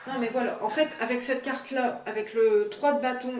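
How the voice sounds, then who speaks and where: A woman's high-pitched, monotone voice with flat intonation, plus noticeable background noise and audible room echo. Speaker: tarot reader. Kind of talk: tutorial. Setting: home video, partner filming. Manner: halting.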